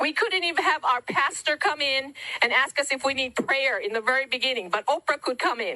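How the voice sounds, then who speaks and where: A woman with a high pitch uses a raised, projected voice, speaking at a fairly quick pace with lively intonation. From Hawaii. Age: 60s. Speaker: wildfire survivor. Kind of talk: public testimony.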